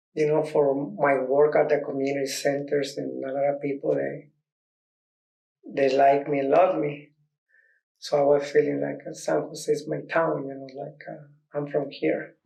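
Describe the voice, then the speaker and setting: A man with a Mexican accent speaks at a moderate pace and fairly high pitch, his tone dark and mellow and his intonation monotone and flat. His loudness swings widely, he takes long, frequent pauses, and room echo is audible. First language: Spanish. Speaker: dancer and youth dance teacher. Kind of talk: documentary interview. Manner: halting.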